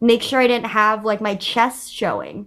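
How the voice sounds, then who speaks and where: At a moderate pace, a woman speaks in an unremarkable speaking voice with a fairly high pitch. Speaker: comedy content creator. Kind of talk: casual chat.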